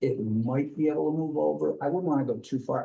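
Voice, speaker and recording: A man with a dark, mellow tone and vocal fry talks at a fairly quick pace. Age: 70s. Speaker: property owner applicant at town board. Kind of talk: public meeting testimony. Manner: halting, many fillers.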